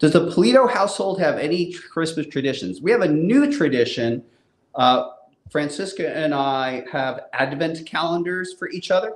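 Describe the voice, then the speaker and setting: A man's plain, everyday voice, fairly high in pitch, with lively intonation. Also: moderate pace. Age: 60s. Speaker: comic book publisher and creator. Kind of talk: casual live Q&A chat.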